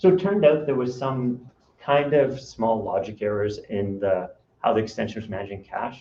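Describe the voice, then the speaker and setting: A man's medium-pitched voice with a dark, mellow tone, somewhat breathy, lively in intonation, with big swings in loudness and audible room echo. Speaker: software consultant. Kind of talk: conference talk. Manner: fast.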